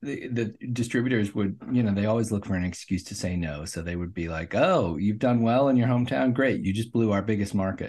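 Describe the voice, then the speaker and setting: A man's fairly low voice with an American accent, fairly quick delivery and ordinary pitch variation. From US Midwest, Omaha, Nebraska. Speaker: filmmaker. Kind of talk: interview.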